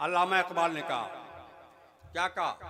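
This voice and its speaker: Noticeable background noise runs under the recording. A man speaks in a raised, projected voice. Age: 70s. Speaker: religious speaker. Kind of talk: public speech. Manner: halting.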